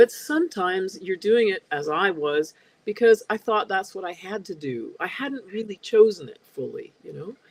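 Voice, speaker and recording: A woman with a plain, everyday voice at medium pitch, moderate pace, lively intonation and big swings in loudness, in dry, close sound with no echo. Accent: Canadian. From Canada, Edmonton, Alberta. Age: 60s. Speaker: spiritual seeker guest. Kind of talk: interview conversation.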